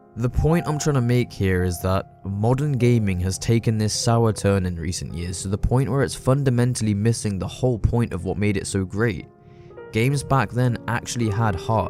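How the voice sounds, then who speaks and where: Music plays in the background as a man talks at a moderate pace. His fairly low voice shows ordinary pitch variation. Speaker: video essayist. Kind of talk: casual commentary narration.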